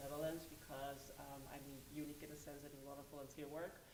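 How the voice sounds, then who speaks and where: A woman with a very deep, low pitch, speaking at a fairly quick pace amid audible room echo. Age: 20s. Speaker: pageant contestant. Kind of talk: pageant interview.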